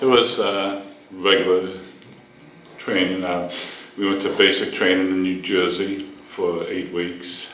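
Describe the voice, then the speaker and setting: Through noticeable background noise and audible room echo, a man speaks at a very slow pace with a very deep, low pitch. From Boston, Massachusetts. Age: 60s. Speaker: war veteran. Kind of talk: oral history interview. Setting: university room. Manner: halting, many fillers.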